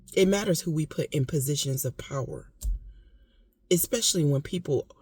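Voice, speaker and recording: Recorded dry and close with no echo, a woman talks at a fairly quick pace, somewhat breathy, with lively intonation. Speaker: vlogger. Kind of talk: casual monologue. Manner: emotional, impassioned.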